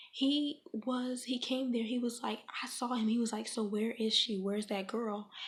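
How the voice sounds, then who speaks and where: A plain, everyday voice delivers the words with fairly even intonation and a fairly slow pace. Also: woman. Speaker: ASMR content creator. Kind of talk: ASMR storytime, casual talk to camera.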